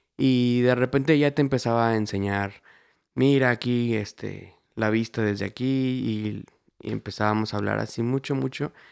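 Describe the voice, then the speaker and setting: A plain, everyday voice speaks at a moderate pace with fairly even intonation, on a very clean recording with a silent background. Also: man, medium pitch for a man. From Mexico, Querétaro. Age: 20s. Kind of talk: casual testimony chat.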